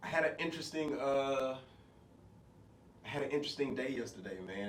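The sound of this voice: A man talks at a moderate pace. Audible room echo hangs around his voice.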